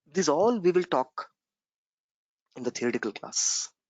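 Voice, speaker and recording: Speaking quietly, a man moves at a fairly quick pace with lively intonation. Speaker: software trainer. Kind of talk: online class lecture. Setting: recorded conference call.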